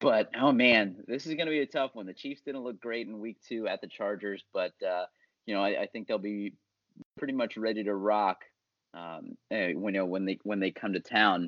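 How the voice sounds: A man at a moderate pace, fairly low in pitch with a fairly bright tone and ordinary pitch variation, in a dry, close sound with no echo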